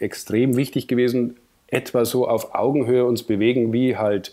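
At medium pitch and a moderate pace, a man with a southern German accent speaks in a dark, mellow tone with monotone, flat intonation. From southern Germany, Munich. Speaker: cinematographer. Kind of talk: podcast interview. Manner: hesitant, many fillers.

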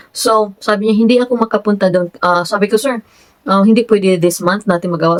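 Fairly quick speech from a woman, pitch varying normally. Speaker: vlogger. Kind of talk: casual vlog talk. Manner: frequent laughter.

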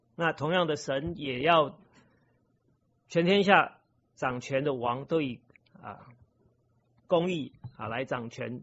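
The man talks at a very slow pace. Long pauses come often. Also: ordinary pitch variation. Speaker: lay preacher. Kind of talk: sermon. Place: church.

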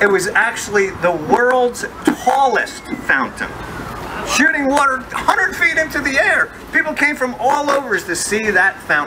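A man speaks at a moderate tempo while loud noise fills the background. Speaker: walking tour guide. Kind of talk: guided tour narration. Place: street. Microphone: handheld.

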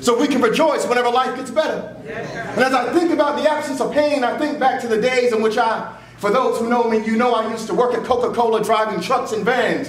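A man with an American accent speaks at an extremely high pitch, fairly quickly and with hardly any pauses, his intonation fairly even. Light background noise and audible room echo sit behind him. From US South. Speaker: pastor. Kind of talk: funeral eulogy preached from the pulpit, consoling the grieving family and congregation. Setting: church. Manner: rhythmic preacher's cadence building through repeated phrases toward an uplifting close; earnest and emotionally heavy, yet comforting. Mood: consoling, earnest. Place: church. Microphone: camera far.

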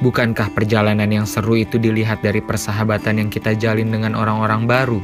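Clear music plays in the background. Over it, a man speaks at a very fast pace. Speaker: narrator. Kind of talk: reflective narration. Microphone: phone near.

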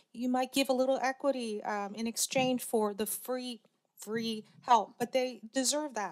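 Against a quiet background, a woman speaks with a high pitch at a moderate pace. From US Mid-Atlantic. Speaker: angel investor and former cancer biologist; panelist. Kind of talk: panel discussion. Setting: stage with audience. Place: hall. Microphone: podium.

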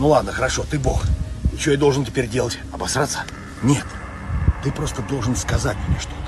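A man talks at a fairly quick pace over noticeable background noise, the sound dry with no echo. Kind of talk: comedic acted dialogue. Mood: ironic, confrontational. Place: open country. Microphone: phone near.

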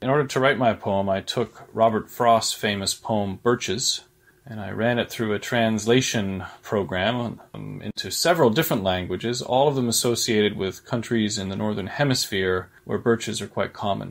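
A man with a plain, everyday voice talks at a moderate pace with hardly any pauses. His medium pitch shows ordinary pitch variation. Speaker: poet and professor, contest judge. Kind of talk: prepared remarks introducing a poem. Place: home room. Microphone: webcam.

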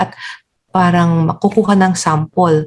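A woman speaks at a moderate pace with a fairly low pitch. Her voice is somewhat breathy, and her intonation is fairly even. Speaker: endocrinologist. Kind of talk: medical interview. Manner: polite, formal.

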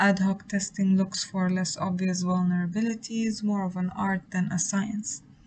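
Somewhat breathy and at medium pitch, a woman speaks at a moderate pace with hardly any pauses and monotone, flat intonation. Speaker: student tutor. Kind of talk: lecture.

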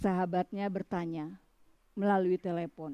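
A woman talks at a fairly slow pace in a dark, mellow tone. The background is quiet. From Bali, Indonesia; Indonesia. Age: 50s. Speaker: writer. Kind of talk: reading aloud. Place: garden.

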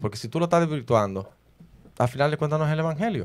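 The man's intonation is lively. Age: 30s. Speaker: preacher; podcast host, Bible debater. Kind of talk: heated debate. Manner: fast. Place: studio. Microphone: studio mic.

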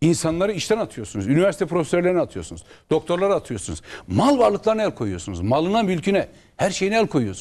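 Racing at a very fast pace, a man speaks in a high pitch with very wide pitch swings. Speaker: opposition member of parliament and lawyer; lawyer. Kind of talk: political TV interview. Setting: TV studio, live broadcast. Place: studio.

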